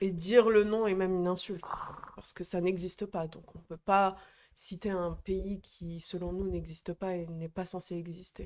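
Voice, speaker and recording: Monotone, flat intonation at a moderate pace, with big swings in loudness. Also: woman. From Algerian background. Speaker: activist. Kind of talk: casual chat. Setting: live stream studio. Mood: serious, engaged. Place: home room. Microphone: handheld.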